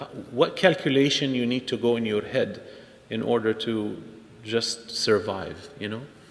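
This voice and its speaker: A very slow man's voice with a non-native accent, medium pitch and ordinary pitch variation, over noticeable background noise. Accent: foreign. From outside the United States. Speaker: imam. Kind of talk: speech at interfaith event. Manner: animated.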